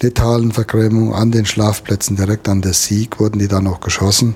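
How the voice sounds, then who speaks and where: Noticeable background noise lies beneath speech that keeps a moderate pace and fairly even intonation. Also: man. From Germany, Westerwald. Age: 60s. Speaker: conservationist and angler. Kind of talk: interview.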